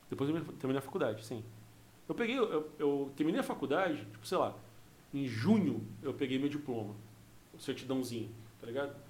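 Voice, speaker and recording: Amid audible room echo, a man speaks with lively intonation, a somewhat breathy voice and long, frequent pauses. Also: fairly high pitch for a man, fairly quick pace. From Rio Grande do Sul, raised in Mato Grosso do Sul. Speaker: criminal lawyer and former comedian. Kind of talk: casual chat.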